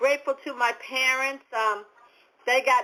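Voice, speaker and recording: With a New England accent, a woman speaks at a high pitch and a moderate pace. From New England, US. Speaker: motivational speaker and business coach. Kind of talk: podcast interview. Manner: halting, many fillers and repeats.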